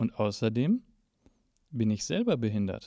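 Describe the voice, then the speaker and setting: A man with a medium pitch and a dark, mellow tone. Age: 30s. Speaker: podcast host, blind musician and lecturer. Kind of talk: solo podcast introduction.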